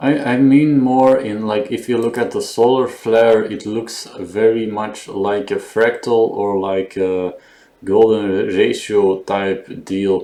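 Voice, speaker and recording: A man mumbles at a very slow pace with fairly even intonation. Noticeable background noise sits behind him. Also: medium pitch for a man. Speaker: digital artist musing on camera. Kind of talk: casual monologue. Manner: mumbling; halting.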